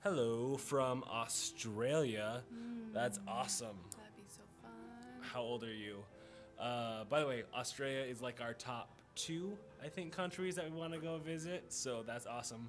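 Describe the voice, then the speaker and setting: A man speaks at a fairly slow pace. Music plays clearly in the background. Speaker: vlogger. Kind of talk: casual live-stream chat answering comments. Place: station. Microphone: phone near.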